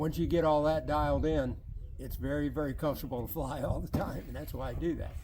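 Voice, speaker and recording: Speaking very fast with an American accent, a man is heard with audible room echo. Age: 70s. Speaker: RC model jet pilot and competitor. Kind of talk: interview.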